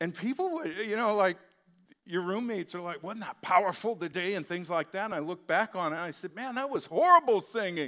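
A man speaks in a raised, projected voice at a high pitch. His pace is fairly quick, with ordinary pitch variation. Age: 30s. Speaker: pastor. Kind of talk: sermon.

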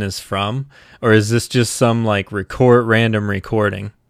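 A man speaks at a moderate pace in a normal speaking voice, medium-pitched with ordinary pitch variation, on a very clean recording with a silent background. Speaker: music podcaster and Twitch streamer. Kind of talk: casual live stream chat. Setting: live Twitch stream, home setup. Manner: casual, rambling, with filler words.

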